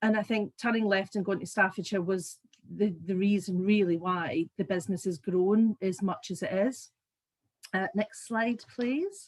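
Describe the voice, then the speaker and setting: Speaking in a Scottish accent, a woman talks at a fairly slow pace. Her somewhat breathy voice has a medium pitch and fairly even intonation. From Scotland. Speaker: business owner. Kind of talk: business presentation.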